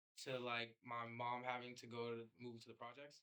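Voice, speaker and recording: A man speaks in a New York accent. His medium-pitched voice has a bright, sharp tone. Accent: New York City. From New York City (Queens). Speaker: filmmaker. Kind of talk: casual interview.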